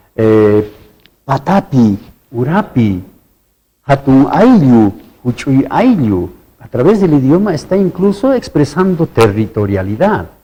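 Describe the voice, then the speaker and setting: In an Andean accent, a man with a dark, mellow, somewhat breathy tone talks at a very slow pace, with very wide pitch swings and long, frequent pauses. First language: Quechua (speaking Spanish). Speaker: university researcher. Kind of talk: TV interview.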